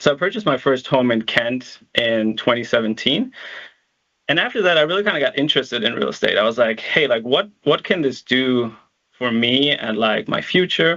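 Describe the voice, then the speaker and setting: A man's medium-pitched voice with a slight German accent, at a moderate pace, lively in intonation and very even in loudness. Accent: slight German accent in American English. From Germany, Berlin; moved to upstate New York at 16. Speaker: real estate investor. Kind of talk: webinar presentation. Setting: virtual event. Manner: hesitant with many fillers.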